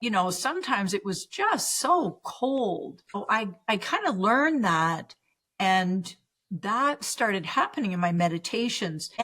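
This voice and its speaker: A woman with a Canadian accent, a bright, sharp tone, medium pitch, lively intonation, and a fairly slow pace. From Canada. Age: 60s. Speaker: spiritual teacher and healer. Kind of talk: podcast interview.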